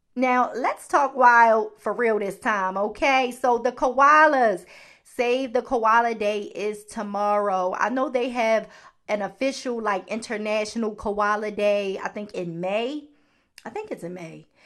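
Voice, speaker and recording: A woman speaks at a fairly slow pace with a Baltimore accent. Her pitch is fairly high, with ordinary variation, against a quiet background. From US, Baltimore. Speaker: podcast host. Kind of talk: solo podcast talk.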